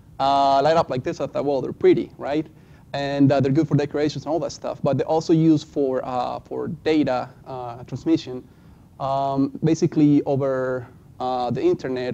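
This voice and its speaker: In a non-native accent, the speaker uses a dark, mellow tone with monotone, flat intonation at a moderate pace. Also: man. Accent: foreign accent, self-described. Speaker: student presenter. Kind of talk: class presentation. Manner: halting, many fillers.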